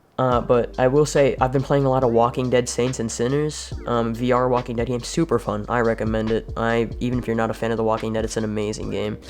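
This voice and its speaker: Over music in the background, a man with a medium pitch talks at a very fast pace with hardly any pauses and a monotone, flat intonation. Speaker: gaming YouTuber and streamer. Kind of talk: casual channel update. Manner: halting, many fillers and repeats.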